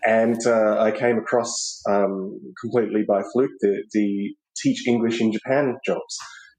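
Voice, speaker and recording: A man with an Australian accent talks at a fairly slow pace, his loudness staying very even throughout. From Australia, Melbourne. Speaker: podcast guest, expat. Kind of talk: interview conversation.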